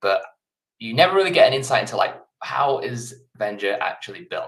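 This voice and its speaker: In an English accent, a man speaks at a moderate pace. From England. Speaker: software developer and co-founder. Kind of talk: live coding stream. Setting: live stream from home office. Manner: casual, hesitant with fillers.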